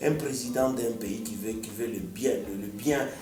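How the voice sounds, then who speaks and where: Over music in the background, a man talks at a fairly slow pace and medium pitch, with ordinary pitch variation. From DR Congo. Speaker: musician. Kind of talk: radio interview answer.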